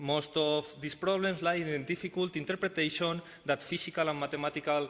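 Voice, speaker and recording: With a Spanish accent, a man speaks at a moderate pace and fairly even intonation. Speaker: professor. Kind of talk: conference talk. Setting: conference stage. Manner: halting, many fillers.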